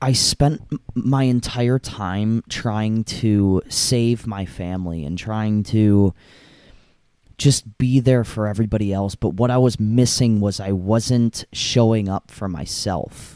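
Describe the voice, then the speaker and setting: At a very slow pace, a man talks in a fairly low, dark, mellow voice with ordinary pitch variation. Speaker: podcast host. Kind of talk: solo podcast monologue. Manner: halting, many fillers.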